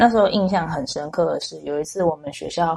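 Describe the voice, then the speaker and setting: Ordinary pitch variation accompanies a fairly quick pace of speaking. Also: woman. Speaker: special education teacher. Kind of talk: interview conversation.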